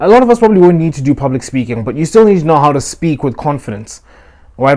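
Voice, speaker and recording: The pace is very fast. A man does the talking. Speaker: self-improvement youtuber. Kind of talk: motivational advice talk. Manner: uses filler words.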